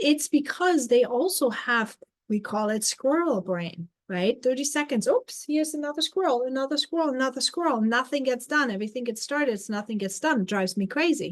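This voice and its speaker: With a German accent, a woman talks at a fairly quick pace and a high pitch. Her intonation is lively, with hardly any pauses. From Germany. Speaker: life coach. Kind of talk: live stream talk.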